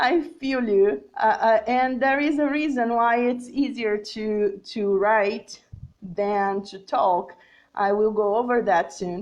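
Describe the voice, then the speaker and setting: Against a quiet background, a woman with a Portuguese accent speaks at a very slow pace. Her pitch is fairly high, with ordinary variation. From Brazil. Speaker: English teacher. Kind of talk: live-streamed lesson reading viewer comments. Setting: Facebook live video. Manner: hesitant, many fillers and repetitions.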